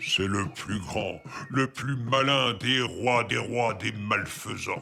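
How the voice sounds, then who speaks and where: A man's put-on character voice, medium in pitch, with ordinary pitch variation and a very slow pace. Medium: read story. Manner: proud, commanding.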